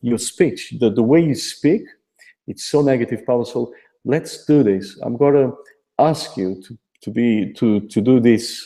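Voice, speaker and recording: On a very clean recording with a silent background, a man speaks with a Portuguese accent. His pitch is medium and his tone dark and mellow. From Portugal. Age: 40s. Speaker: affiliate marketer. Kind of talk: motivational testimony.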